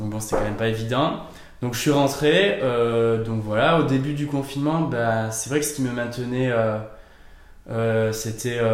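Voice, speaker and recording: At a fairly slow pace, a man with a medium-pitched voice talks with ordinary pitch variation amid audible room echo. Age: 20s. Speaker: fitness coach. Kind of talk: interview. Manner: hesitant, many fillers.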